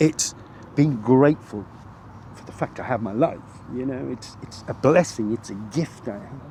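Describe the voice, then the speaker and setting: In a British accent, the speaker goes at a moderate pace with ordinary pitch variation, big swings in loudness and long, frequent pauses. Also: man, medium pitch for a man. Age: 60s. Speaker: interviewee, road accident survivor. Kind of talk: casual chat. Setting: outdoors on a park bench. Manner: halting, many repetitions.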